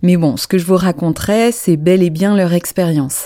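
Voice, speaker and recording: A woman speaks in a dark, mellow tone. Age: 40s. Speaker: therapist and podcast host. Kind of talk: solo podcast monologue.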